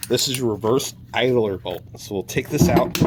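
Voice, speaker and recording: A man speaks over noticeable background noise. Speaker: car mechanic YouTuber. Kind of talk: casual tutorial. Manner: fast.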